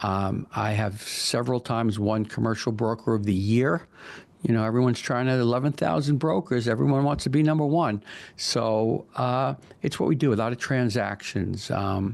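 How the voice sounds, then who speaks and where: A man with a New York accent speaks at a moderate pace and medium pitch, his loudness very even against a quiet background. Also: ordinary pitch variation. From Long Island, New York. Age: 60s. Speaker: commercial real estate broker. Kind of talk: interview.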